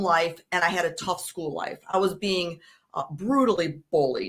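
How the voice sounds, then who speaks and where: Her bright, sharp tone carrying a Chicago accent, a woman speaks at a moderate pace with medium pitch and ordinary pitch variation. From US Midwest, Chicago. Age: 40s. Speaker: suicide prevention advocate. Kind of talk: interview testimony.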